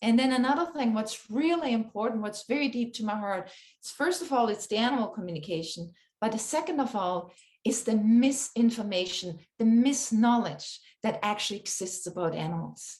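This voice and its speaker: A woman speaks at a fairly quick pace with lively intonation. Her fairly high voice is somewhat breathy. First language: not English. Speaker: animal communicator. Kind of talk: interview conversation. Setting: podcast recording.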